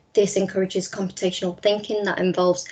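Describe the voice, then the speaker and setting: This woman has a Liverpool accent and a medium pitch. Her intonation stays monotone and flat. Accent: Scouse. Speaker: teacher trainer. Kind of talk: webinar presentation.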